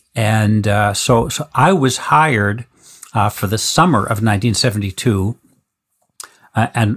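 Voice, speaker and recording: A man with an American accent talks at a medium pitch, his somewhat breathy voice showing ordinary pitch variation. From New England, Boston. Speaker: synthesizer company founder and engineer. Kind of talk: interview storytelling. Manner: halting, many fillers and repetitions.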